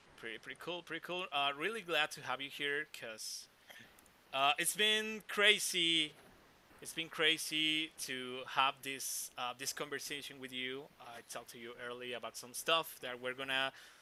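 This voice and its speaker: A man with a Mexican accent, his pitch fairly high, his tone bright and sharp, ordinary pitch variation, and big swings in loudness. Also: moderate pace. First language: Spanish. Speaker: podcast host. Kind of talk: interview. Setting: live video stream. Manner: halting.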